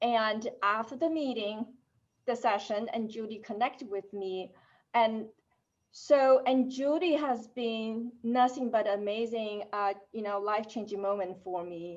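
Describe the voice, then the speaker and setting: With a non-native accent, a woman speaks fairly slowly at a fairly high pitch and ordinary pitch variation. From Asia. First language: not English. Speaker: technology executive. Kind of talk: panel discussion.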